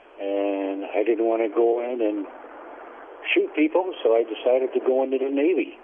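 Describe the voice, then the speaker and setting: Over noticeable background noise, a man with an American accent talks at a moderate pace and medium pitch, with ordinary pitch variation. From upstate New York (Syracuse, Schenectady). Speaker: Navy veteran. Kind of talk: oral history interview. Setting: phone call. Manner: halting, many fillers.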